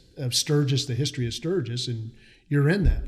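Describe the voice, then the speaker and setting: This man's voice sits fairly high and is somewhat breathy. His pitch moves in an ordinary way. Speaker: podcast host. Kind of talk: casual podcast interview.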